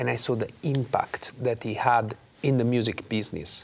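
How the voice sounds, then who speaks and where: The speaker has an Italian accent. The pace is moderate. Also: man. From Naples, Italy. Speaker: opera singer. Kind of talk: interview. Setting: studio. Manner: animated. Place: studio. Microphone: lapel.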